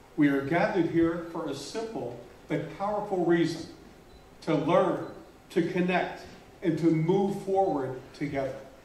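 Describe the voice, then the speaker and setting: The speech has long, frequent pauses and ordinary pitch variation, heard through noticeable background noise and audible room echo. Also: man, high pitch for a man. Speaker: conference speaker, stuttering advocate. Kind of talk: keynote speech. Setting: conference hall with audience. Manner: slow, pausing for interpreter.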